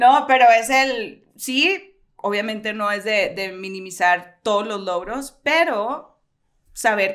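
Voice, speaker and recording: Over a quiet background, a woman with a fairly high pitch speaks very slowly, her pitch varying in an ordinary way. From Sonora, Mexico (Hermosillo); Sonora, Mexico. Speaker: writer; podcast co-host. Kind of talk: casual chat. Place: home room. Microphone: studio mic.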